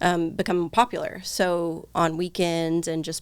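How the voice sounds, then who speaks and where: A woman with a fairly low pitch is heard in a very clean recording with a silent background. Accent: Southern US. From Eastern Kentucky, small town. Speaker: nurse and clinic owner. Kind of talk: casual chat.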